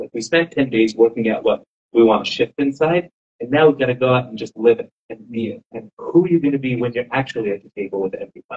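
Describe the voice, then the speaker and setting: A man speaks in a Californian accent. His pace is very fast. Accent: American (Californian). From Southern California. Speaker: rabbi and inspirational speaker. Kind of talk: inspirational talk to a live audience. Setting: room with live audience. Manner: soft-spoken; casual, conversational.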